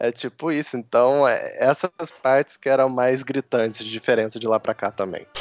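A man with a plain, everyday voice speaks at a moderate pace, his medium pitch held in a fairly even intonation. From southern Minas Gerais, Brazil. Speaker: photographer. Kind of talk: casual chat.

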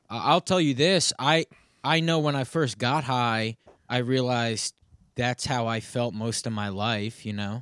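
A man with a normal speaking voice at a medium pitch is heard in a very clean recording with a silent background. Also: ordinary pitch variation. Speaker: comedian. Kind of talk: casual chat.

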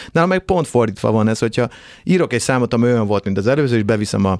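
This man speaks at a very fast pace and medium pitch with lively intonation, the sound dry and close with no echo. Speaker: singer and band frontman. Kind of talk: casual chat. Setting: studio.

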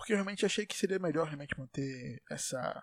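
A man's voice with ordinary pitch variation. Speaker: solo podcaster. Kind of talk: casual monologue. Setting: home bedroom. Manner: put-on comedic voice; animated.

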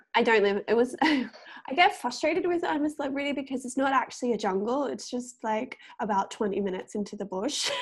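Over noticeable background noise, a high-pitched woman talks at a very fast pace with lively intonation. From Australia, Gold Coast. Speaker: podcast guest. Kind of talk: casual chat. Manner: rising intonation at sentence ends.

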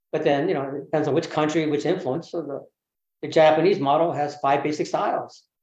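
Speaking in a Californian accent, a man talks at a fairly quick pace with fairly high pitch. His intonation is monotone and flat. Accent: Californian American English. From US West Coast, Berkeley, California. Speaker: bonsai teacher. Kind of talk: casual interview.

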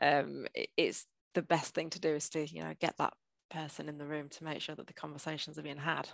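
Talking at a fairly quick pace, a woman with a northern English accent makes big swings in loudness. The recording is very clean with a silent background, and the sound is dry and close with no echo. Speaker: change manager / project manager. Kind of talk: casual interview.

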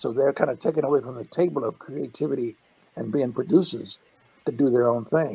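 Talking at a fairly quick pace with an American accent, a man has a medium-pitched, dark, mellow voice with vocal fry and ordinary pitch variation. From Texas. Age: 70s. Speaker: animator. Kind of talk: casual interview.

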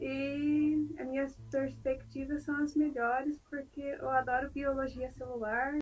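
With hardly any pauses, a woman speaks at a very slow pace in a high pitch, her intonation monotone and flat, amid noticeable background noise. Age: 20s. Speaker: first-year university student. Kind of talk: casual interview.

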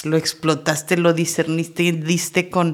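A woman speaks with a Mexican accent. Her pitch is fairly low and her pace fairly slow. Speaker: podcast host. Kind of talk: casual chat.

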